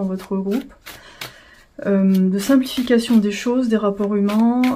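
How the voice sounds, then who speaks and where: Over noticeable background noise, a woman mumbles at a moderate pace. Her medium-pitched voice keeps a fairly even intonation. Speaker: tarot reader. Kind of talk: tarot reading. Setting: at home, indoors with incense. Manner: mumbling.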